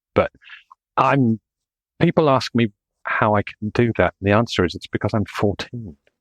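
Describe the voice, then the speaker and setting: A man's medium-pitched voice at a moderate pace, with long, frequent pauses and a dry, close sound free of echo. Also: ordinary pitch variation. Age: 60s. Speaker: engineer. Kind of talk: casual chat. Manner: halting.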